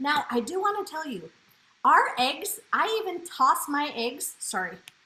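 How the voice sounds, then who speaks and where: A woman speaks in a raised, projected voice with a high pitch. Her tone is animated, with very wide pitch swings. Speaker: cooking demonstrator. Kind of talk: live cooking demo. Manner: fast.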